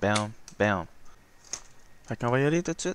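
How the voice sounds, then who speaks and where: A man speaks here. His intonation is lively. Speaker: flight simulator gamer. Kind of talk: gameplay tutorial commentary. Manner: casual.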